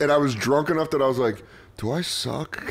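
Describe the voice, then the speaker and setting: Over noticeable background noise, a man talks in an animated tone with ordinary pitch variation. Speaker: comedian and podcast host. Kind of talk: casual chat.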